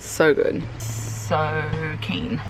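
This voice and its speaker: A woman with an Australian accent, music in the background. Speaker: vlogger. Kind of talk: casual vlog talk. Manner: soft-spoken.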